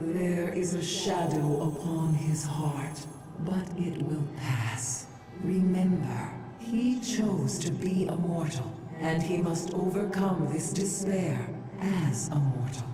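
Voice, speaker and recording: A woman's put-on character voice, fairly low in pitch, very even in loudness and at a fairly slow pace, with a strong echo and loud background noise. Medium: video game. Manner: gentle, uplifting.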